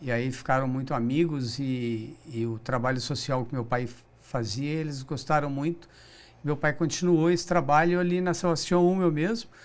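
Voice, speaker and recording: Fairly high in pitch with ordinary pitch variation, a man speaks with audible room echo. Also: moderate pace. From Brazil, São José dos Campos (São Paulo state). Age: 60s. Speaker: business director, recycling company. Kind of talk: interview. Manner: halting, with repetitions.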